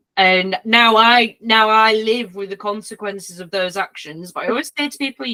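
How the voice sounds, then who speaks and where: A woman speaks at a fairly quick pace with a Yorkshire accent and a fairly high pitch. Her tone is bright and sharp, and the sound is dry and close with no echo. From Yorkshire, northern England. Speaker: podcast host, canine therapist. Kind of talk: casual chat. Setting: podcast.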